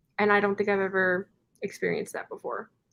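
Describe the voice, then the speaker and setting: Medium-pitched female speech in an American accent. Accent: Californian accent noticed by locals. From California. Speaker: book youtuber hosting reading sprints. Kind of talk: casual chat. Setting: live video stream.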